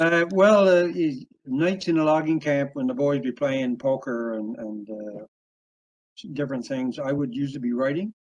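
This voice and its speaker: The intonation is lively. The pace stays moderate. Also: man, fairly high pitch for a man. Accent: Newfoundland. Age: 70s. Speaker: author and logger. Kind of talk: interview. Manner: halting.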